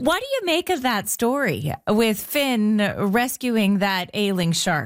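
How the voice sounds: A woman speaks slowly with big pitch swings. Her voice is fairly high.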